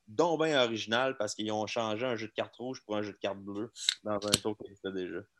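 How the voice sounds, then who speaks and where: A man with a Quebec accent, at a fairly quick pace. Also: fairly low pitch for a man, ordinary pitch variation. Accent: Québécois French. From Quebec, Laval. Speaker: magician. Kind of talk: casual chat.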